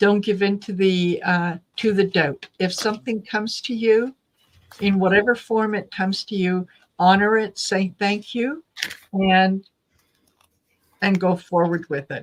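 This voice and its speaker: A woman speaks at a fairly slow pace in a normal speaking voice, medium in pitch with fairly even intonation. Her sound is dry and close with no echo. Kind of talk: tarot reading host talking to a live audience.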